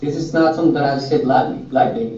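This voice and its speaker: Ordinary pitch variation, audible room echo, and music in the background. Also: man. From Mexico, Jalisco. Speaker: author. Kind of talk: classroom Q&A talk. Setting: classroom with students.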